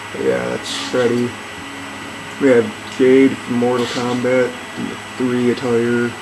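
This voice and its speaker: Quiet and mumbling, a man talks at medium pitch in a monotone, flat way. Noticeable background noise runs under his voice. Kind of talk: casual video game commentary. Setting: laptop microphone facing away. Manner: quiet, mumbling.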